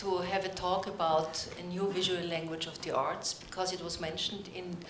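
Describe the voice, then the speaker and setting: Audible room echo and noticeable background noise surround a woman speaking at medium pitch and a moderate pace with fairly even intonation. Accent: Austrian. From Austria, Vienna. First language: German. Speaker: philosopher and theatre academic. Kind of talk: conference talk read from notes.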